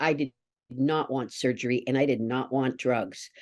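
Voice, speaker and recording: A woman in a Canadian accent, fairly slow, against a quiet background. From eastern Canada, New Brunswick. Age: 60s. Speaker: somatic educator. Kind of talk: interview.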